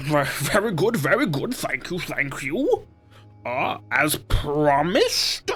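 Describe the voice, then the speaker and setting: In a put-on character voice, the speaker goes at a fairly slow pace with a middle pitch. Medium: actual play. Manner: pompous, self-satisfied.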